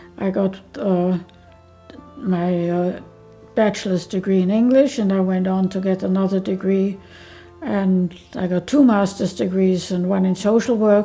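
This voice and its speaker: Over music in the background, a woman talks at a fairly slow pace with fairly even intonation. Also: medium pitch for a woman. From Vienna, Austria. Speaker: Holocaust survivor, retired school social worker. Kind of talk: interview answer.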